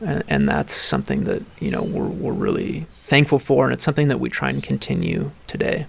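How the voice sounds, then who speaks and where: A man speaks fairly fast, hardly pausing, against noticeable background noise. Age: 30s. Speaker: winemaker. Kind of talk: interview. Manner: halting, many fillers.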